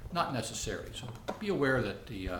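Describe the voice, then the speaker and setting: Noticeable background noise and audible room echo surround the speaker, a man. He talks at a fairly quick pace with ordinary pitch variation. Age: 60s. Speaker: vlogger sharing personal experience. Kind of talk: casual talk to camera. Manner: halting, many fillers.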